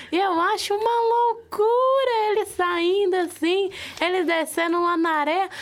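Fairly slow speech from a woman, with ordinary pitch variation over noticeable background noise. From interior of Minas Gerais, Brazil. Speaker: university student, roundtable panelist. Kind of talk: casual roundtable chat. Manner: animated.

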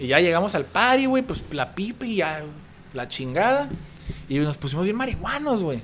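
A man with a high voice makes very wide pitch swings at a moderate pace. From Tijuana, Mexico. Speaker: businessman. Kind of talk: casual chat.

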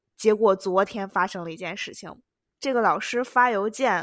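Animated in tone, a woman speaks at a medium pitch. Her pitch variation is ordinary. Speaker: international student podcaster. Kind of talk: casual monologue.

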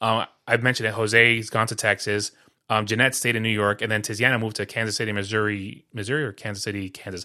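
A man with a bright, sharp tone and a fairly low pitch talks very fast in a monotone, flat delivery. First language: Spanish. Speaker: podcast host. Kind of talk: casual chat.

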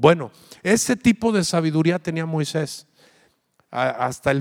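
Lively intonation and an animated tone carry this man's speech at a moderate pace. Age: 40s. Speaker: pastor. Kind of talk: sermon.

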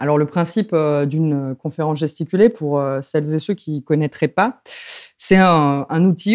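A woman speaks at a fairly slow pace in a fairly low pitch. Her tone is dark and mellow, and the background is quiet. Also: dry, close sound with no echo. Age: 30s. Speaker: lecturer and popular educator. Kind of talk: interview. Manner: hesitant, with many fillers.

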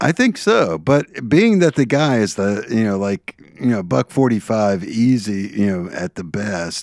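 The very clean recording, with a silent background and a dry, close sound with no echo, carries a man's normal speaking voice at a fairly low pitch, a fairly slow pace and lively intonation. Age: 60s. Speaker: podcast co-host. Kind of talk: casual chat.

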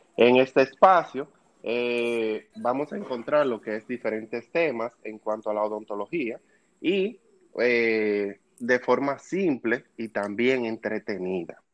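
Very slowly, a man with a Dominican accent talks at a medium pitch. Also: ordinary pitch variation. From Dominican Republic. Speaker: dental student, podcast co-host. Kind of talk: casual chat.

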